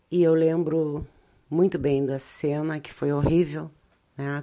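A woman speaks with a very deep, low voice at a fairly slow pace. Her pitch varies in an ordinary way. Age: 60s. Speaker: lawyer and union activist. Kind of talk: life story interview.

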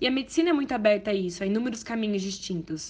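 Somewhat breathy, a woman talks at a fairly quick pace. Her intonation is lively. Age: 20s. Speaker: medical student. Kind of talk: testimony.

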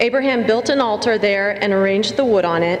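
Noticeable background noise sits behind speech that has ordinary pitch variation. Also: woman. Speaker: lector. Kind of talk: scripture reading and announcements. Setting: church.

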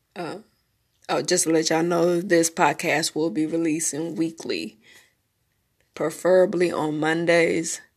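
In a Memphis accent, a woman speaks at a fairly low pitch with fairly even intonation and a fairly slow pace, leaving long, frequent pauses. The recording is very clean, with a silent background. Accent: Southern US (Memphis). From US South, Memphis, Tennessee. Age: 30s. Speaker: podcast host. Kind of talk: casual monologue. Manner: halting, with many fillers.

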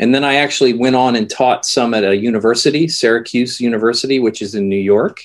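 With an American accent and a plain, everyday voice, a man talks at a fairly quick pace with a medium pitch and fairly even intonation. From United States. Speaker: composer and music educator. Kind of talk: interview. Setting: video call.

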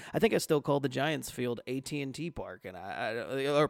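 A man with a medium-pitched voice and vocal fry talks at a fairly quick pace on a very clean recording with a silent background. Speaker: podcast host, guest on sports podcast. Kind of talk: casual chat.

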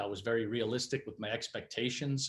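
A man with a strong Boston accent and a medium-pitched voice, at a moderate pace with fairly even intonation. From Massachusetts, New Bedford area. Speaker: hockey head coach. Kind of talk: interview.

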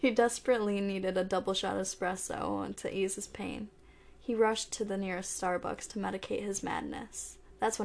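What comes through is an unforced reading voice.

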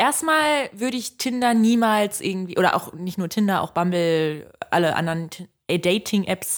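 On a very clean recording with a silent background, a woman with a plain, everyday voice speaks at a moderate pace, medium in pitch, with lively intonation. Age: 20s. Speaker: podcast co-host. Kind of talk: casual chat.

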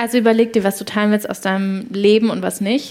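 Amid noticeable background noise, a woman with a medium pitch speaks at a very fast pace. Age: 20s. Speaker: startup founder. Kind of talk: live podcast interview before an audience. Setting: university venue with live audience. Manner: animated.

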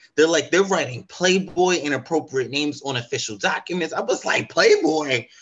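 Using a normal speaking voice, a man talks at a moderate pace and fairly high pitch with ordinary pitch variation and hardly any pauses. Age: 30s. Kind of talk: interview.

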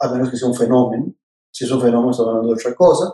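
A man's voice sits at a medium pitch and has a dark, mellow tone. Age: 50s. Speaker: political scientist and presidential pre-candidate. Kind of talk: interview.

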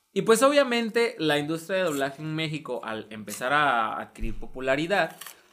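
Man's voice with very wide pitch swings over music in the background. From coastal Mexico. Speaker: podcast host. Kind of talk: casual chat.

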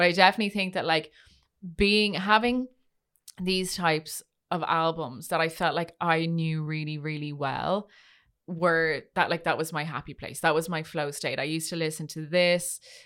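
Fairly low in pitch, a woman speaks with fairly even intonation. Her pace is moderate, and the recording is very clean with a silent background. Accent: Irish. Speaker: podcast host. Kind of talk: casual chat.

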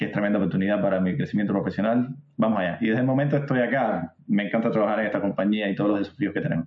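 A man speaks at a very fast pace in a fairly low pitch. His pitch varies in an ordinary way. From Cuba. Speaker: software tech lead. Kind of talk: casual interview.

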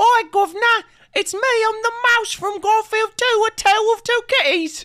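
The pitch here is extremely high. It is a put-on character voice. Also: moderate pace. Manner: cheeky, playful.

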